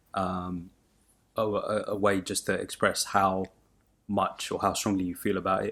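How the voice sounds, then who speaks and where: Monotone, flat intonation from a man with a fairly low voice, very cleanly recorded against a silent background. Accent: southern English. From southern England (Sussex, near Brighton). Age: 20s. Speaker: podcast co-host. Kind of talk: casual chat. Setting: home studio in living room.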